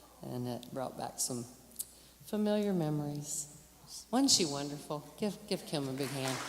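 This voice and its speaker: A woman with a very deep, low pitch speaks at a moderate pace with lively intonation and long, frequent pauses, amid audible room echo. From western North Carolina, Hickory area. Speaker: emcee at a church concert. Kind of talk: stage introduction. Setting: stage with audience. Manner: halting, with self-corrections.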